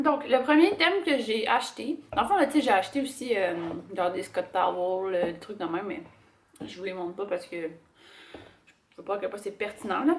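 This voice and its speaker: Speaking at a fairly slow pace in a Quebec accent, a woman lets her pitch swing very widely. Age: 20s. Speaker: lifestyle vlogger. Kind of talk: casual talk to camera.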